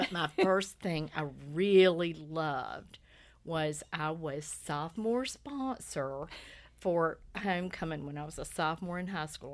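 A woman with a North Carolina accent speaks at a fairly slow pace, her pitch very deep and low with ordinary variation. The recording is very clean, with a silent background. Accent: US Southern (North Carolina). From North Carolina, Lumberton. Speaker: guest storyteller. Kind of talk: casual interview chat.

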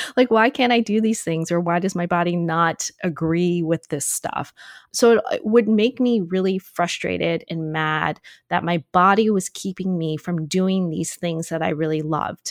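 A woman's plain, everyday voice, fairly low in pitch with ordinary pitch variation, at a moderate pace, dry and close with no echo on a very clean recording with a silent background. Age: 40s. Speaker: journalist and author. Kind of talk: personal storytelling.

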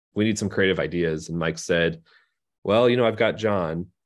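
A man with a very deep, low pitch talks at a moderate pace. The background is quiet. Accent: American. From Phoenix, Arizona. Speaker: pastor. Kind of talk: casual chat.

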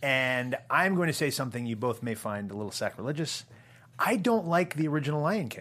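A plain, everyday voice from a man with an American accent, fairly high in pitch, fairly quick and with lively intonation, in a very clean recording with a silent background. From US Northeast (Portland, Maine). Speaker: entertainment columnist. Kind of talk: casual chat.

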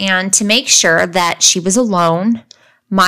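Reading aloud in a natural voice, ordinary pitch variation

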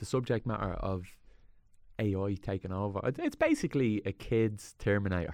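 In a Dublin accent, a man speaks at a moderate pace with fairly even intonation. His pitch is fairly low, and the background is quiet. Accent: Dublin Irish. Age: 30s. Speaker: actor and comedian. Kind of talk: casual chat.

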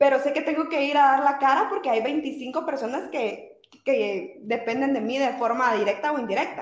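Speaking with a Guatemalan accent, a woman uses a high pitch with ordinary pitch variation and hardly any pauses. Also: moderate pace. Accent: Guatemalan Spanish with voseo. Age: 20s. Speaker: entrepreneur. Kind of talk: interview. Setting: live stream.

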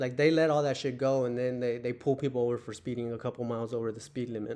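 A man talks at a very fast pace. His tone is dark and mellow. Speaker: podcast host. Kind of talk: casual chat.

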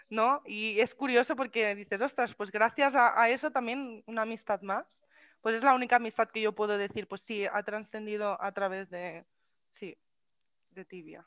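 Spoken in a Castilian accent at a moderate pace, with ordinary pitch variation and big swings in loudness, the voice has a dry, close sound with no echo against a quiet background. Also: woman, fairly high pitch for a woman. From Spain. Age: 20s. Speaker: streamer. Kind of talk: casual chat.

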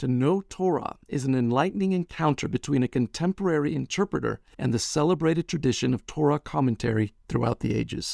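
An ordinary speaking voice at a fairly quick pace with hardly any pauses, dry and close with no echo. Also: man, fairly high pitch for a man. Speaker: podcast host, professor. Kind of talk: interview. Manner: formal.

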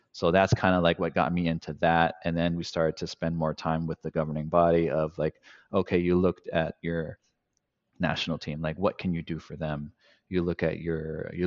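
A man's very deep, low pitch in a monotone, flat delivery. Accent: American. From Los Angeles, US. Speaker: physical therapist. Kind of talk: interview. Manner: halting, many fillers.

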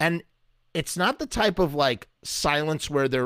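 Recorded dry and close with no echo, a man speaks with an American accent. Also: very clean recording, silent background. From United States. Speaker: YouTube music commentator. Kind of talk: casual solo commentary. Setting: live video stream. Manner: halting, self-correcting.

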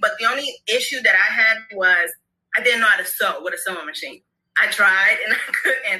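A woman's fairly high-pitched voice. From Brooklyn and Florida. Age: 30s. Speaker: hair care entrepreneur. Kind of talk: casual interview.

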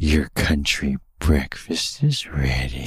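A breathy, put-on character voice speaks at a very slow pace. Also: man, very deep, low pitch for a man. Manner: creepy.

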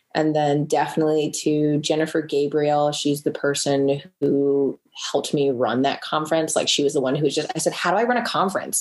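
A woman speaks with a very deep, low pitch and very even loudness, hardly pausing at all, over noticeable background noise. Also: ordinary pitch variation, fairly quick pace. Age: 30s. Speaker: art educator and artist. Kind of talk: casual chat.

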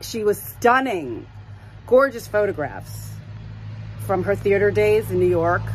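Noticeable background noise runs behind a woman speaking at a fairly slow pace. She leaves long, frequent pauses. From Italy. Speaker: former broadcaster giving a tribute. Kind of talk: recorded tribute message.

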